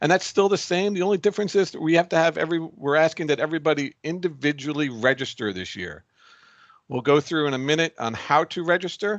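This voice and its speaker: A man talks at a fairly quick pace. The sound is dry and close with no echo, against a quiet background. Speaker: league president leading a meeting. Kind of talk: meeting presentation. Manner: fast; halting, many fillers and repeats.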